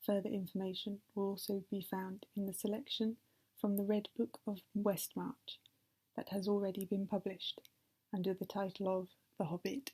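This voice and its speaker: In a British accent, a woman speaks at medium pitch and a moderate pace, somewhat breathy with a dark, mellow tone and monotone, flat intonation, recorded dry and close with no echo. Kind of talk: ASMR sleep reading of a novel. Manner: soft-spoken.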